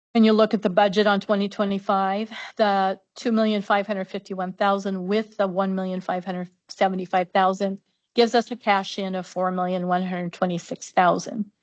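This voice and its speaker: A woman at a fairly quick pace, her intonation monotone and flat, over a quiet background. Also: medium pitch for a woman. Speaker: public health administrator. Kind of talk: budget presentation. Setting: county commission meeting. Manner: fast.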